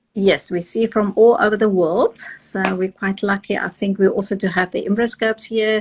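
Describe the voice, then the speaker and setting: Over noticeable background noise, a woman talks at a moderate pace and medium pitch with fairly even intonation and hardly any pauses. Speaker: fertility clinic director. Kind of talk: interview.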